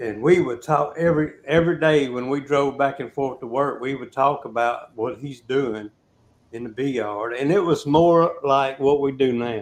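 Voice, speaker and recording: Here is a man with an ordinary speaking voice and a fairly high pitch. He talks at a moderate pace with ordinary pitch variation. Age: 60s. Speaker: beekeeper. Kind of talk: casual chat.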